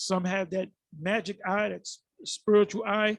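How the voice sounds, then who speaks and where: Recorded dry and close with no echo, a man speaks at a high pitch. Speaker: bible teacher. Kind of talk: scripture teaching. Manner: halting, frequent self-corrections.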